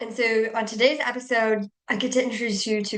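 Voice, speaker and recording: An enthusiastic woman with an Indiana accent, fairly high in pitch, at a moderate pace. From US Midwest, Indiana. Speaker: podcast host. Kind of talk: podcast interview.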